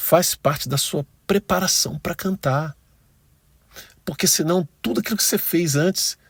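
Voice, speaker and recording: In a very clean recording with a silent background and a dry, close sound with no echo, a man speaks at a high pitch. He goes at a fairly slow pace, with ordinary pitch variation and long, frequent pauses. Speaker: church music ministry teacher. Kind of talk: tutorial. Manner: conversational.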